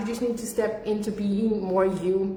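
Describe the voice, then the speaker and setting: A woman with a fairly high pitch talks at a moderate pace. Audible room echo and noticeable background noise surround her voice. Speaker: business coach. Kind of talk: livestream talk. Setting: livestream from home. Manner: loud.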